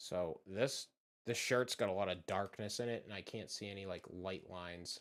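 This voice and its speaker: Moderate pace and relaxed tone in a Boston accent, very clean recording with a silent background. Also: man. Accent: Boston accent, moderate, drops R's. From Massachusetts, just south of Boston. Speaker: streamer, horror channel creator. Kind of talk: casual live-stream chat. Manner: relaxed, laid-back.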